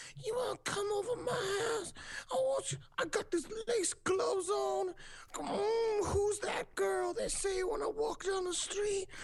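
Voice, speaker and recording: An extremely high-pitched, put-on character voice speaks at a fairly slow pace. Clear background noise can be heard. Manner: breathy, flirty.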